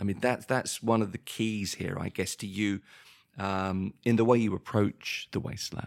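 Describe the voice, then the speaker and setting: Flat and monotone, a man with a southern English accent speaks at a moderate pace in a fairly low voice, the sound dry and close with no echo. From southern England, near London. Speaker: podcast co-host. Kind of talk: casual chat.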